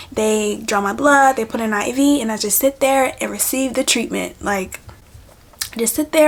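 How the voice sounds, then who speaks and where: Fairly high-pitched female speech at a moderate pace over noticeable background noise. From US, Haitian-born Caribbean family. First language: Haitian Creole or French. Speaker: lifestyle vlogger. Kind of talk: casual talk while doing makeup.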